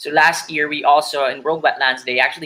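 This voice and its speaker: A bright, sharp tone at a fairly quick pace, with fairly even intonation. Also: man. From Philippines. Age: 20s. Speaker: conservation photographer; presenter. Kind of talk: presentation with slides. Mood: earnest, concerned. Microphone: webcam.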